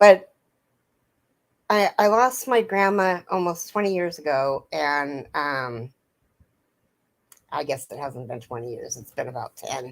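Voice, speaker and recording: A woman's fairly low voice at a fairly slow pace, with very wide pitch swings, big swings in loudness, and long, frequent pauses. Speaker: crochet livestreamer. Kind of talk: casual chat.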